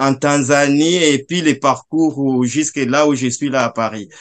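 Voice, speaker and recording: Over a quiet background, a man with a medium-pitched voice speaks very slowly, his intonation fairly even. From eastern Democratic Republic of the Congo (South Kivu); eastern Democratic Republic of the Congo. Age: 30s. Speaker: Congolese refugee and commentator. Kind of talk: video call discussion. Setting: video call. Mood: earnest, recounting war memories. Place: home room. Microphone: video call.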